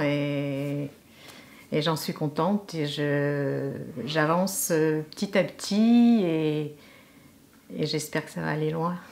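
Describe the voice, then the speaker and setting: Speaking at a very slow pace, a woman talks. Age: 70s. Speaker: actress. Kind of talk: interview. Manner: hesitant, many fillers.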